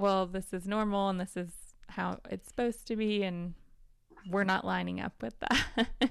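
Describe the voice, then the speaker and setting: A normal speaking voice, with ordinary pitch variation and a moderate pace, is heard against a silent background in a very clean recording. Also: woman, medium pitch for a woman. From US South. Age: 30s. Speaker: podcast host. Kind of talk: casual chat.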